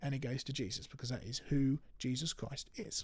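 This man's fairly high voice is somewhat breathy and moves at a moderate pace. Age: 20s. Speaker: creation ministry speaker. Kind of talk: casual chat. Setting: studio.

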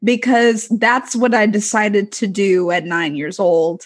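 Against a quiet background, a woman with an ordinary speaking voice talks at a fairly slow pace, her fairly high pitch carrying lively intonation. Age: 20s. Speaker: student. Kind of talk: casual chat.

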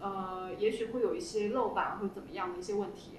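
Noticeable background noise and audible room echo fill the clip. A woman speaks at a fairly quick pace with ordinary pitch variation. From northern China. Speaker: creator of an opera-themed food column. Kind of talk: casual chat.

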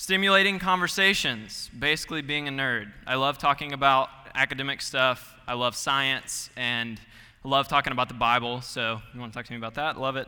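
This man speaks at a medium pitch with an American accent and a bright, sharp tone. His pace is fairly quick, and his pitch varies in an ordinary way. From Georgia, US South. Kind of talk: sermon. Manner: casual, friendly.

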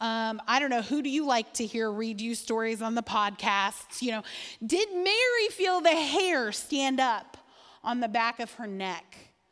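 An ordinary speaking voice with an American accent moves at a fairly slow pace, using lively intonation and big swings in loudness. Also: woman. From southern Indiana. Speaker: women's Bible teacher. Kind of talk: sermon.

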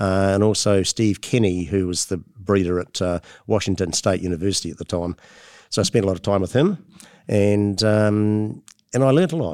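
A man's fairly low voice with a New Zealand accent and ordinary pitch variation, on a very clean recording with a silent background. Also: moderate pace. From New Zealand, Motueka (top of South Island). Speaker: hop breeder and plant geneticist. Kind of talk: interview. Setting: conference venue.

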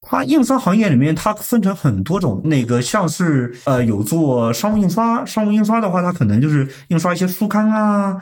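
The man's voice moves through very wide pitch swings. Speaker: sales at a pharmaceutical packaging printing company. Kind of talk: casual interview. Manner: formal.

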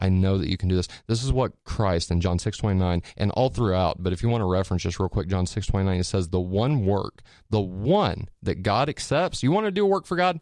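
A man with a fairly low pitch talks at a fairly quick pace, hardly pausing, his loudness very even. His tone is animated, his pitch variation ordinary, and the background quiet. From Indiana, US Midwest. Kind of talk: testimony and theology discussion. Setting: radio studio.

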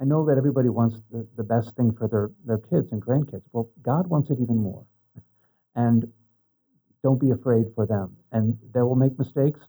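A man with a medium-pitched voice and a dark, mellow tone talks at a moderate pace with ordinary pitch variation. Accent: American. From Eastern Washington. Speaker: priest. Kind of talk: interview.

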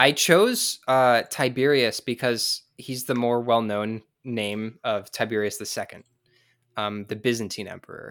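A man with an American accent and a normal speaking voice, medium pitch, fairly even intonation, big swings in loudness and a fairly slow pace, on a very clean recording with a silent background. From US West Coast (San Diego). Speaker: podcast guest, history enthusiast. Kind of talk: casual chat.

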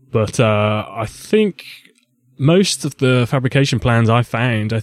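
A man speaks at a medium pitch with ordinary pitch variation, in an ordinary speaking voice. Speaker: podcast co-host guest. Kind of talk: casual chat.

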